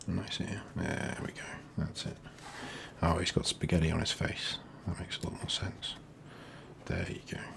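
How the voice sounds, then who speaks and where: A man whispering with an English accent at a moderate pace, with long, frequent pauses and noticeable background noise. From England. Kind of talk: ASMR doodling ramble, casual talk to camera. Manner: quiet, soft-spoken.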